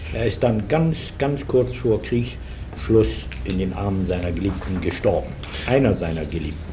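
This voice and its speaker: Very wide pitch swings at a fairly slow pace, amid noticeable background noise and audible room echo. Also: man, very deep, low pitch for a man. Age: 60s. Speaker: former wartime propaganda radio journalist. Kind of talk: oral history interview. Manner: halting, with frequent fillers.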